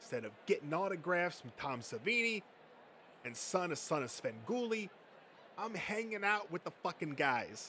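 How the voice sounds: A man's put-on character voice, high-pitched with a bright, sharp tone, big pitch swings and a moderate pace.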